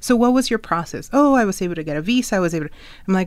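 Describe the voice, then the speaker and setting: On a very clean recording with a silent background, a woman with an American accent speaks in a normal speaking voice at medium pitch, her intonation lively. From Ecuador, raised in the US. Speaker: immigrants' rights activist. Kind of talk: interview conversation.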